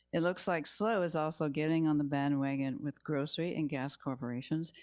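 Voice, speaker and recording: A woman speaks with an American accent in a very deep, low pitch, with ordinary pitch variation. The recording is very clean, with a silent background. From Southern California. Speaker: public commenter. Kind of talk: public comment at council meeting. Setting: council chamber microphone.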